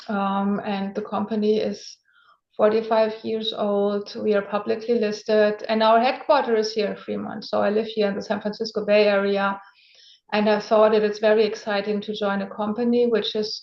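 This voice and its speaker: With a German accent, a woman speaks at a moderate pace in a fairly high pitch and monotone, flat intonation. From Germany. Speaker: venture capital investor. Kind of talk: interview.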